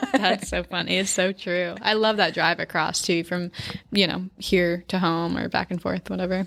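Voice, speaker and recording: A woman with an American accent at a fairly low pitch, monotone and flat, at a moderate pace against noticeable background noise. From central Maine, US. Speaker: photographer. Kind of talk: casual chat. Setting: podcast interview.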